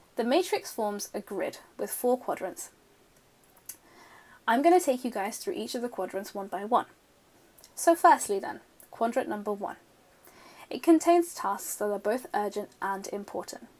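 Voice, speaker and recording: In a British accent, a woman speaks at a moderate pace with long, frequent pauses, a fairly high pitch, very wide pitch swings and big swings in loudness. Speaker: student organisation officer. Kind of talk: tutorial.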